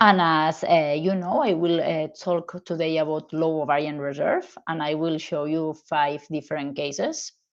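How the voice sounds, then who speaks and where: With a Spanish accent, a woman speaks at a moderate pace in a very deep, low pitch, with fairly even intonation and hardly any pauses. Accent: Spanish-accented English, non-native. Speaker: gynecologist, fertility specialist. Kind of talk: medical lecture presentation.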